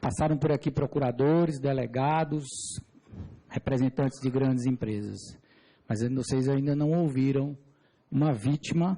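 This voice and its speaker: A somewhat breathy man at a fairly slow pace, with fairly even intonation and long, frequent pauses. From Brazil, Piauí (Teresina). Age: 40s. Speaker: civil engineer giving testimony. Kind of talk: testimony before a parliamentary committee. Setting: parliamentary committee hearing. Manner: formal.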